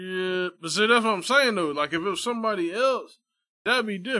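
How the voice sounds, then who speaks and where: On a very clean recording with a silent background, a man projects a raised, high-pitched voice with a bright, sharp tone and lively intonation. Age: 30s. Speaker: barber. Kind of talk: casual chat.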